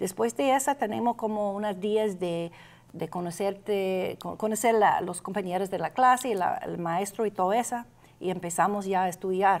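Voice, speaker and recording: A woman with an English accent speaks at a medium pitch with ordinary pitch variation. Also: moderate pace. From Austin, Texas. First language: English (speaking Spanish). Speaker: adult education director. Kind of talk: interview. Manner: halting. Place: studio.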